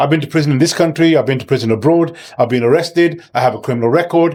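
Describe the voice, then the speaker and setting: A man's fairly high voice with ordinary pitch variation, on a very clean recording with a silent background. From Birmingham, England (Sparkhill). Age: 60s. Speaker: local election candidate and youth mentor. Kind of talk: interview. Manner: halting, many fillers and repetitions.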